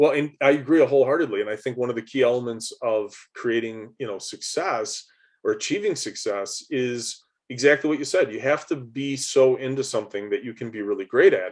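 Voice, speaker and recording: In a normal speaking voice, a man talks at a fairly quick pace and medium pitch, with ordinary pitch variation against a quiet background. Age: 40s. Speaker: podcast host. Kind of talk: interview.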